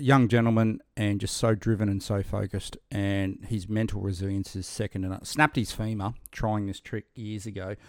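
Recorded very cleanly over a silent background, a man with an unremarkable speaking voice and a fairly low pitch talks at a fairly quick pace. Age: 40s. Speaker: military veteran and author. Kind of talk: casual interview chat.

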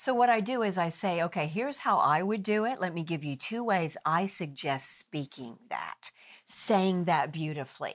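With an American accent, a woman speaks in a normal speaking voice at a moderate pace, with fairly low pitch and lively intonation. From US Midwest. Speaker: actress, author and communication coach. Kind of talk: interview. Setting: studio. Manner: articulate.

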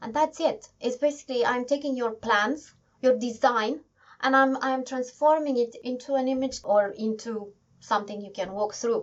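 A high-pitched woman at a moderate pace, with ordinary pitch variation. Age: 40s. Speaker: 3D artist and creative director. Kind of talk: interview. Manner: halting.

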